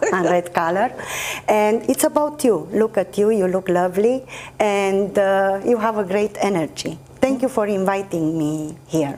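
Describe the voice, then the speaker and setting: With a Romanian accent, a woman speaks at a fairly slow pace and medium pitch, with lively intonation and very even loudness over noticeable background noise. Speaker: actress and poet. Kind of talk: interview.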